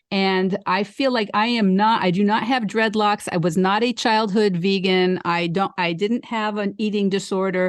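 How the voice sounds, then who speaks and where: A woman's unremarkable speaking voice at medium pitch, with fairly even intonation, very even loudness, a moderate pace and hardly any pauses, against a quiet background. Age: 60s. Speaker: podcast host, vegan life coach. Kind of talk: casual chat.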